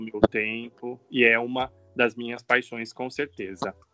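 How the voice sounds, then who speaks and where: Music plays in the background as a man speaks fairly slowly at medium pitch. His intonation is flat and monotone, and the sound is dry and close with no echo. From São Paulo state, Brazil (São José do Rio Preto). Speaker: TV journalist and university professor. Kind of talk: interview.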